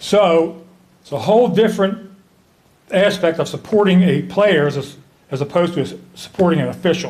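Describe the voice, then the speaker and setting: Using an American accent, a man talks at a high pitch and moderate pace, with ordinary pitch variation and long, frequent pauses. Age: 70s. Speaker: hall of fame inductee, former basketball player and referee. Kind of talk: acceptance speech. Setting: ceremony with audience.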